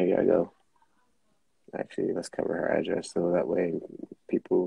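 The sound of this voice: Low-pitched and dark, a man's mellow voice carries vocal fry and a husky, rough edge, moving at a moderate pace with little pitch movement.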